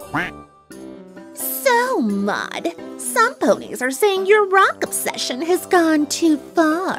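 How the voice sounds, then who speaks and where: With faint music in the background, a female-sounding voice does a cartoonish character voice, high-pitched and at a very slow pace. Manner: brash, theatrical.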